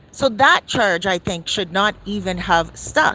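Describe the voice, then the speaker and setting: A woman with a Toronto accent sounds animated. Her pitch swings very widely. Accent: Canadian English, Toronto. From Canada, downtown Toronto. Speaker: celebrity news commentator. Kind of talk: casual commentary monologue.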